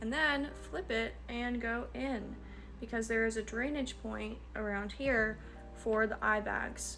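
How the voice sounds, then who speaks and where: A woman talks at a very slow pace while music plays in the background. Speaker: facial wellness instructor. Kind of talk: tutorial instruction to camera.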